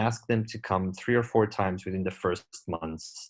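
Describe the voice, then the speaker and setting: Speaking in a Portuguese accent, a man keeps a moderate pace with ordinary pitch variation. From Portugal. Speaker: glaucoma surgeon. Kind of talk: lecture. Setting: webinar.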